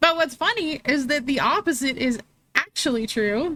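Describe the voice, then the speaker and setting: A woman talks at a high pitch with lively intonation. She keeps a moderate pace. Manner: loud.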